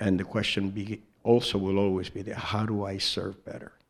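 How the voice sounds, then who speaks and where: Using a monotone, flat intonation, a man with a fairly low pitch talks at a moderate pace. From New York, the Bronx. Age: 60s. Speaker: Zen teacher. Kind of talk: dharma talk.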